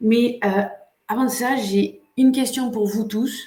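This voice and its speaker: In a room with audible echo, a woman speaks at a very slow pace with ordinary pitch variation. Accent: non-native. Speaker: coach and online workshop host. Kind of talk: live webinar hosting. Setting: livestream. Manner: hesitant, many filler sounds.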